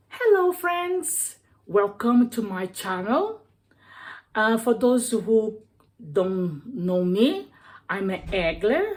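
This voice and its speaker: Very slow, somewhat breathy speech in a Brazilian accent, with very wide pitch swings and long, frequent pauses, on a very clean recording with a silent background. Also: woman, fairly high pitch for a woman. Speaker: cooking vlogger. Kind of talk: cooking tutorial. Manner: halting, many fillers.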